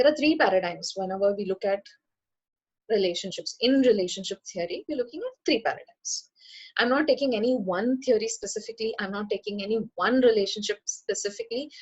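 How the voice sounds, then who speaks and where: At a fairly quick pace, a woman talks in a somewhat breathy, fairly high-pitched voice. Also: ordinary pitch variation. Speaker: psychologist / counselor. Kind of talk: lecture. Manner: fast.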